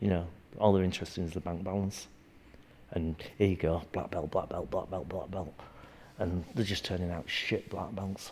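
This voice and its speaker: Moderate pace and fairly even intonation in a man's very deep, low voice. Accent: Yorkshire. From Yorkshire, northern England. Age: 60s. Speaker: martial arts instructor. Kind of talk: interview. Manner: halting.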